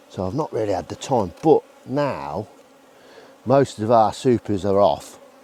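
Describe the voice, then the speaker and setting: A man talks fairly slowly at a fairly low pitch, with lively intonation and long, frequent pauses. Noticeable background noise runs underneath. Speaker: beekeeper. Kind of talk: casual vlog narration while working. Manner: mumbling while concentrating.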